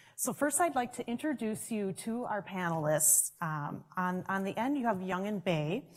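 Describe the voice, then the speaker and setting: A woman's somewhat breathy voice with a Minnesotan accent. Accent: Minnesota. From Minnesota, US. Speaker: session moderator. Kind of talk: panel introduction at conference. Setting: conference room with audience, microphones.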